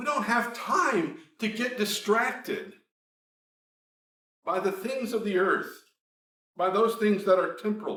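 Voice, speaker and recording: A man's high-pitched, raised and projected voice at a fairly slow pace, with ordinary pitch variation, long and frequent pauses, and audible room echo. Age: 60s. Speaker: preacher. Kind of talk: sermon.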